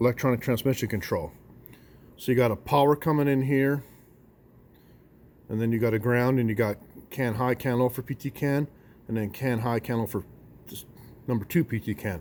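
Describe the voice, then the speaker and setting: With ordinary pitch variation and a medium pitch, a man speaks at a fairly quick pace, pausing long and often. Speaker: auto mechanic. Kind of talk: tutorial. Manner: fast.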